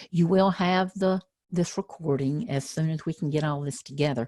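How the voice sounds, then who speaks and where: Somewhat breathy, a woman talks with a Southern accent. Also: dry, close sound with no echo. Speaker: educational trainer. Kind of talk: webinar presentation.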